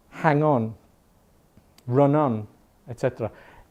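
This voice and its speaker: With a dark, mellow tone, a man speaks at a moderate tempo. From England, Irish family. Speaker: English teacher. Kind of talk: language class talk. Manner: halting, mixes Spanish and English.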